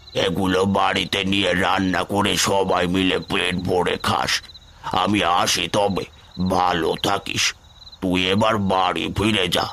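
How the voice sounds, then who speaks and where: This man does a cartoonish character voice that is raspy and very deep, spoken fairly slowly in a flat monotone. Background noise is clearly audible. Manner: fatherly, addresses with intimate tui.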